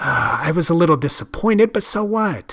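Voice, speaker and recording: In a put-on character voice, a man speaks at a high pitch and a fairly quick pace. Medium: read story.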